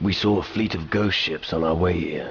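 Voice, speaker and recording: In a put-on character voice, a man growls out raspy lines at a moderate pace, his very deep, low pitch held in fairly even intonation. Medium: video game. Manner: dry, laconic.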